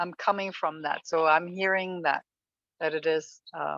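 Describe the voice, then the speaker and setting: A woman with a German accent, a fairly low pitch, fairly even intonation, and a fairly slow pace, in a dry, close sound with no echo. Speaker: class participant. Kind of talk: class discussion. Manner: halting.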